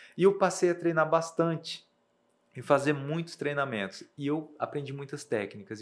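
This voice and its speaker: A man at a fairly high pitch and moderate pace, a normal speaking voice on a very clean recording with a silent background. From Brazil, Rondônia (Ariquemes), raised partly in Mato Grosso do Sul. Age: young. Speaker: math teacher and behavioral coach. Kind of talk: interview.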